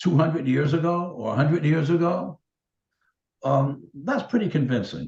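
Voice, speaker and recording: A man's fairly high voice with vocal fry, moderate pace and ordinary pitch variation. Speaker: hypnotherapist. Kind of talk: interview answer.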